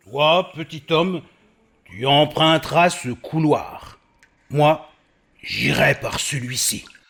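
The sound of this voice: Using a cartoonish character voice at a fairly high pitch, a man speaks at a very slow pace, broken by long, frequent pauses.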